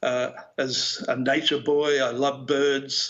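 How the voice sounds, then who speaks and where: Over noticeable background noise, a man with an Australian accent speaks at a fairly high pitch. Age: 60s. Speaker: philosopher. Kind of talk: keynote speech.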